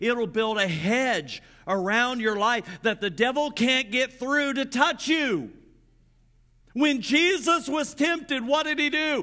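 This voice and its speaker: A man speaks in a raised, projected voice at an extremely high pitch, with a bright, sharp tone and very wide pitch swings. His pace is fairly slow, against a quiet background. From US Midwest, Grant County, Indiana. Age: 50s. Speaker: pastor. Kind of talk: sermon. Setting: church. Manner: animated.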